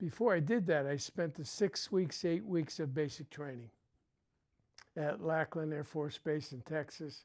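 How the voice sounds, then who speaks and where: Fairly slow delivery in a New England accent. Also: very clean recording, silent background. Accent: New England American. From Connecticut. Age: 80s+. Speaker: Vietnam-era veteran. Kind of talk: interview, life story. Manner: halting, many fillers.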